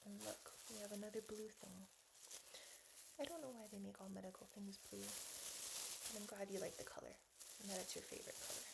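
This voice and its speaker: Noticeable background noise runs through the clip. A woman talks over it at a fairly quick pace. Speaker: ASMR nurse roleplayer. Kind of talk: ASMR medical roleplay. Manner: speaking softly and kindly to a small child.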